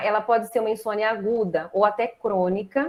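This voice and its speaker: A woman with a fairly high pitch talks at a moderate pace in a normal speaking voice. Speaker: acupuncturist and pharmacist. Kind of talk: online lecture.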